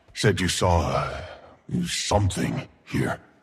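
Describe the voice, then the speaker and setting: Putting on a character voice, a man growls at a fairly slow pace in a very deep, low pitch. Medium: video game. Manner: energetic, eager.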